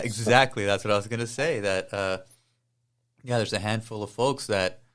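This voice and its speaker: A man's fairly low, fairly quick delivery with fairly even intonation, an ordinary speaking voice, on a very clean recording with a silent background. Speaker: podcast host. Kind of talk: interview conversation.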